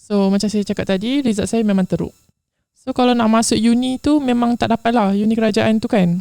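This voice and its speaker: Close and dry with no echo, a woman's fairly high voice has a dark, mellow tone, fairly even intonation and a moderate pace. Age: 20s. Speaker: interview guest sharing life story. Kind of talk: confessional interview.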